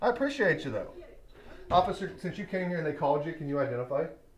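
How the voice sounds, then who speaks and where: The speech runs at a very fast pace. Noticeable background noise is present. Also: man. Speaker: attorney doing first amendment audits. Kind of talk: confrontational public records request. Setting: government office counter, talking through glass. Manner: loud.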